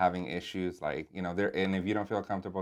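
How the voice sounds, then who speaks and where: A man with a Spanish accent speaks at a very fast pace, his very deep, low pitch held in fairly even intonation. The recording is very clean, with a silent background. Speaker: assistant principal. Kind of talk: interview. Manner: casual, with fillers.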